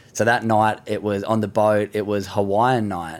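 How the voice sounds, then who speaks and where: Fairly low, flat, monotone intonation from a man, on a very clean recording with a silent background. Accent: Australian. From Australia, Sydney. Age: 20s. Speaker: professional surfer and mental health advocate. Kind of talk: casual chat.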